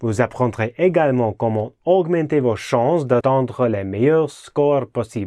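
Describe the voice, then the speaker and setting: A man with a non-native accent speaks at a fairly slow pace, yet with hardly any pauses and lively intonation. His medium-pitched voice has a dark, mellow tone against a quiet background. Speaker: golf psychology coach and author. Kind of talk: sales pitch.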